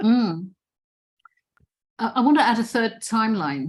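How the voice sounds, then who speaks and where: Her voice has a somewhat breathy quality. The speaker is a woman. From Indonesian and Dutch background. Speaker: session leader and speaker on governance. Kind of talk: online discussion group talk.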